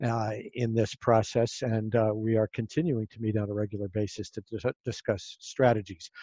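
A man speaks in an ordinary speaking voice at a moderate pace, his intonation fairly even. The background is quiet and the sound dry with no echo. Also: fairly low pitch for a man. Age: 60s. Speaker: podcast host and futurist; podcast host. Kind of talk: moderated panel discussion. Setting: video call. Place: home room. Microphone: headset.

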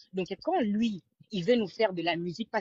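Against a quiet background, a woman speaks at a moderate pace in a somewhat breathy voice, the sound dry with no echo. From Congolese, raised in Europe. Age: young. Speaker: caller. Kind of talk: call-in opinion. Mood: animated, admiring. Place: home room. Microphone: video call.

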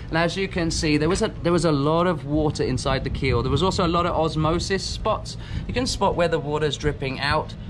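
A man's high-pitched voice at a fairly quick pace, with ordinary pitch variation and noticeable background noise. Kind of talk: casual vlog chat. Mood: frustrated about trailer. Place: garage. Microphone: phone near.

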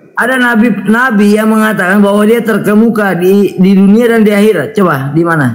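A man speaks at a fairly quick pace with hardly any pauses, his voice high-pitched for a man, with ordinary pitch variation and very even loudness over noticeable background noise. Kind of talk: interfaith debate. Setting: online live stream.

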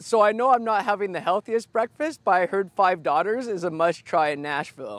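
The sound is dry with no echo. A man speaks at a fairly quick pace with lively intonation. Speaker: food vlogger. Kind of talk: casual food review vlog. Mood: cheerful, playful. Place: open country. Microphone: lapel.

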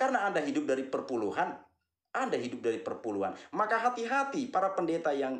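A man's fairly quick speech with very wide pitch swings, audible room echo and a quiet background. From Flores, eastern Indonesia. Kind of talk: monologue, commentary on religion. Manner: repetitive, earnest, addresses audience warmly. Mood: critical, scolding. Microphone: phone near.

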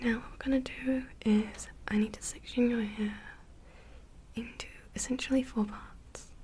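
Soft-spoken and monotone, a woman talks at a moderate pace with flat intonation over light background noise. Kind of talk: ASMR roleplay chat to the viewer. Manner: soft, gentle, hushed speaking.

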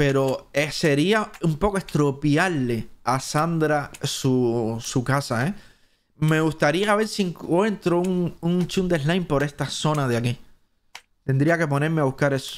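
Speaking in a Cuban accent, a man uses a fairly high pitch, a fairly slow pace and very even loudness. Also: ordinary pitch variation. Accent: Cuban Spanish, drops S sounds. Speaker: gaming streamer. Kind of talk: live stream commentary. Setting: live stream. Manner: animated.

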